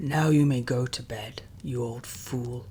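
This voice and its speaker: Using a booming, put-on character voice at medium pitch, a man speaks at a fairly slow pace over light background noise. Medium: read story. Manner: brusque, commanding.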